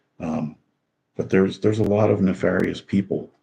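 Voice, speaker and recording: A man with an American accent speaks at a fairly quick pace in a dark, mellow tone with vocal fry and fairly even intonation. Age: 60s. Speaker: political commentator. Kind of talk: casual monologue. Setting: at home, outdoors in daylight behind. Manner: halting.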